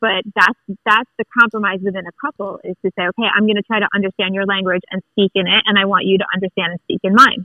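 A woman with an unremarkable speaking voice, medium in pitch, at a fairly quick pace. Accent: American. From Long Island, New York. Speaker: listener. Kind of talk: casual chat. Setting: phone call.

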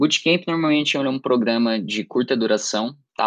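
A man's normal speaking voice at a medium pitch, with ordinary pitch variation and a moderate pace, in a dry, close sound with no echo. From Brazil, Santa Catarina (Criciúma). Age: 18. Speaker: student, summer program participant. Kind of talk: interview.

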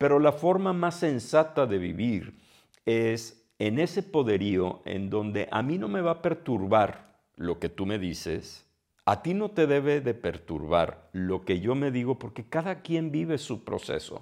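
Against a quiet background, a man at a medium pitch speaks at a fairly slow pace with very wide pitch swings. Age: 60s. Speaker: podcast host. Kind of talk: solo monologue. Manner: hesitant, with filler sounds.

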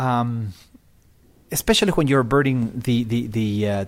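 A man with a Spanish accent, medium in pitch with ordinary pitch variation, in a very clean recording over a silent background. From Ecuador, Quito. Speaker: bird tour guide. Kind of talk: casual chat.

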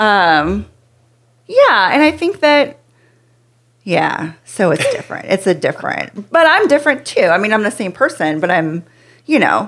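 A woman's fairly high voice with very wide pitch swings and long, frequent pauses. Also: fairly slow pace. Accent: American. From US Pacific Northwest. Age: 30s. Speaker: companion, sex worker and yoga teacher. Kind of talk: casual interview chat.

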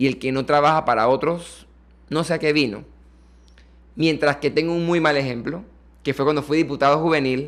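Fairly high-pitched and fairly quick, a man speaks in a normal speaking voice with fairly even intonation. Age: 20s. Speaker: political candidate and lawyer. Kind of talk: interview.

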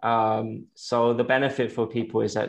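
In an English accent, a man with a medium pitch speaks at a fairly slow pace in a monotone, flat way against a quiet background. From England. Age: 30s. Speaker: vegan activist and nonprofit founder. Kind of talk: interview. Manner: halting.

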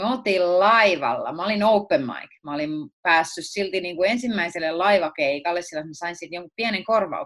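Her voice is a plain, everyday voice, fairly low in pitch for a woman, moving at a moderate pace with lively intonation. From Finland, Tampere region (Viiala). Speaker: stand-up comedian. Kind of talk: casual interview chat.

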